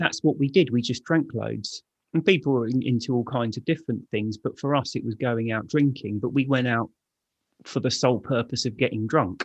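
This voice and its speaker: In a London accent, a man talks at a fairly quick pace with medium pitch and ordinary pitch variation, recorded dry and close with no echo against a quiet background. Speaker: author and speaker on alcohol addiction. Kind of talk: casual interview. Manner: blunt, laid-back.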